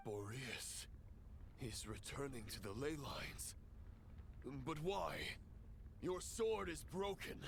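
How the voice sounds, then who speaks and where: A man's put-on character voice at a fairly high pitch and fairly slow pace, with long, frequent pauses and clear background noise. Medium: video game. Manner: cold, calculating.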